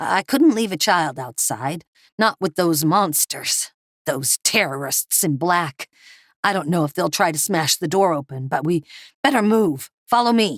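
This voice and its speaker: A woman puts on a raspy character voice at a moderate pace. Her pitch sits fairly low and swings very widely. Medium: read story. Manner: gruff, plainspoken.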